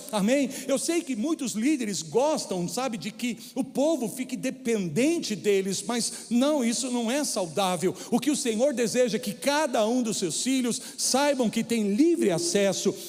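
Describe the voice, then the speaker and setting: Noticeable background noise sits behind a man with an extremely high pitch and lively intonation. He talks at a fairly slow pace with hardly any pauses. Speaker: preacher. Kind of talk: sermon. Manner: stumbling over words.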